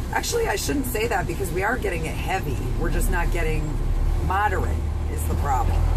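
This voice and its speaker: A woman speaks against loud background noise. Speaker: truck driver vlogger. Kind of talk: casual vlog chat. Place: car. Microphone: phone near.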